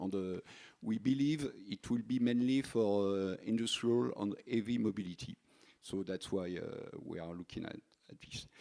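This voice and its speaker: Speaking with a French accent at a moderate pace, a man has a medium pitch, ordinary pitch variation and a dark, mellow tone. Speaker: energy company engineer. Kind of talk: panel talk. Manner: halting.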